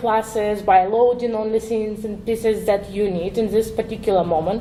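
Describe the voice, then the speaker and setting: With noticeable background noise and audible room echo, a woman with a non-native accent speaks at a fairly high pitch with fairly even intonation. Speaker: web developer, conference speaker. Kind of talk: conference talk. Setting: stage with audience. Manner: hesitant, with fillers.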